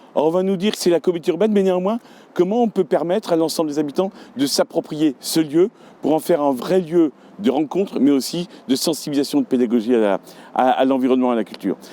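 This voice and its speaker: The voice moves at a very fast pace with lively intonation and a dark, mellow tone, recorded with a dry, close sound and no echo. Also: man, fairly high pitch for a man. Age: 50s. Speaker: local election candidate. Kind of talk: campaign video statement.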